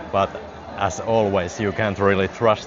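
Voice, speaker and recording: A man's fairly low, monotone, flat voice with a Finnish accent at a fairly slow pace, over noticeable background noise. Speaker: live-streaming vlogger. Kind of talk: live walking vlog. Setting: outdoors. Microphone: wireless clip mic on phone.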